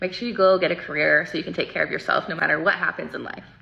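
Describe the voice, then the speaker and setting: Very fast talking with an American accent amid noticeable background noise. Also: woman. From New Zealand, then California and Colorado. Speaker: beauty content creator. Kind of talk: storytelling while doing makeup.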